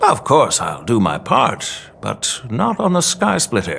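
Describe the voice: A man uses a put-on character voice at a slow pace, with very wide pitch swings, vocal fry and a fairly bright tone. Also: medium pitch for a man.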